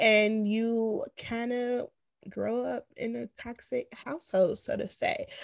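A woman speaks at a very slow pace in an American accent. The sound is dry and close, with no echo. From Chicago. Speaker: podcast co-host. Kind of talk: casual chat.

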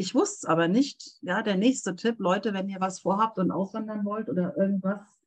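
A somewhat breathy woman's voice at medium pitch, with ordinary pitch variation and a moderate pace. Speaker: translator and interpreter. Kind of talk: casual interview. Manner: animated.

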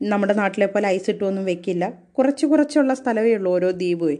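This voice belongs to a woman. It sits at a medium pitch. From southern Kerala, Kollam district. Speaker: college teacher. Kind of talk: personal storytelling monologue. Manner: conversational.

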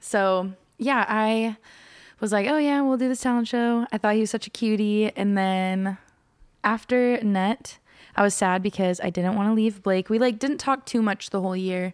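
This woman has a normal speaking voice with an American accent, fairly high pitch and ordinary pitch variation. She keeps a moderate pace at a very even loudness in a very clean recording with a silent background. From Oklahoma, Norman. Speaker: musician. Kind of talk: casual interview chat.

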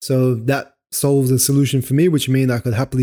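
Speech comes at a fairly quick pace in a dark, mellow tone with monotone, flat intonation. The sound is dry and close, with no echo. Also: man. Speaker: photography podcast host. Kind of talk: solo product review podcast. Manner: casual, unscripted.

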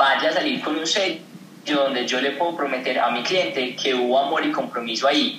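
Moderate-paced male speech amid noticeable background noise and audible room echo. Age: 20s. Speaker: entrepreneur, skincare brand founder. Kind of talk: interview.

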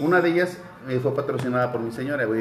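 A man speaks in a space with audible room echo, noticeable background noise present throughout. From Mexico, Querétaro. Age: 30s. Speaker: podcast co-host. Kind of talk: casual chat.

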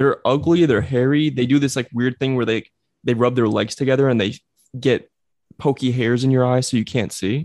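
Against a quiet background, a man with an American accent and a plain, everyday voice talks at a fairly quick pace at medium pitch with fairly even intonation. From New Jersey. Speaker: podcast host. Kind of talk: casual banter. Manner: joking, playful.

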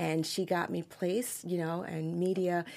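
With a New York accent, a woman speaks at a fairly low pitch on a very clean recording with a silent background. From New York City (Queens). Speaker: entrepreneur. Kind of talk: interview. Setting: studio.

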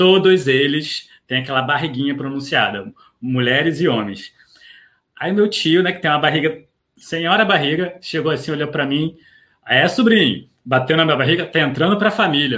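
With lively intonation and a bright, sharp tone, a man speaks at a moderate pace and a fairly high pitch. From Rio de Janeiro, Brazil. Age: 30s. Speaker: doctor and recipe creator. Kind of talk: casual interview.

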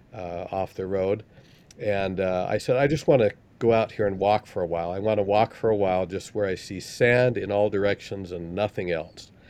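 Speaking at a moderate pace with an American accent, a man has a fairly low pitch and ordinary pitch variation. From Utah, Salt Lake City. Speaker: scholar and church missionary. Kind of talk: casual chat. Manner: halting.

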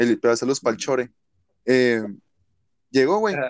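A man with a medium-pitched voice talks at a fairly slow pace in a dry, close sound with no echo. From Mexicali, Baja California, Mexico. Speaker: rapper and freestyler. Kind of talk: casual chat.

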